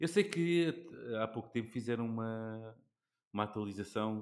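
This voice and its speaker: Here is a man with an unremarkable speaking voice, pitched fairly low. His pitch varies in an ordinary way, and he goes at a fairly slow pace. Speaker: podcast host. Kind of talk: casual interview chat.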